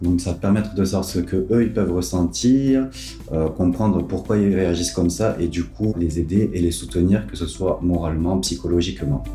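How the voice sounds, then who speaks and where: Speaking at a moderate pace in a southern French accent, a man with a very deep, low voice uses lively intonation, with audible room echo and faint music in the background. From southern France. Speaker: pediatric nurse. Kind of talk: interview testimony; interview answer. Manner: hesitant with frequent fillers. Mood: warm, smiling, upbeat. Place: home room.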